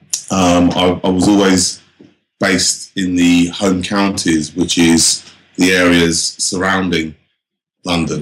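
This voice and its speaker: A man with a southern English accent. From England, Northampton. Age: 40s. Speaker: drum and bass MC and producer. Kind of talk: casual interview. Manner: halting, many fillers.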